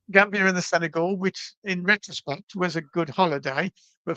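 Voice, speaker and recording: A man with a Birmingham accent at a fairly quick pace, in a dry, close recording with no echo and a quiet background. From England, Birmingham. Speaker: reptile enthusiast, herping traveller. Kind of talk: storytelling in podcast conversation.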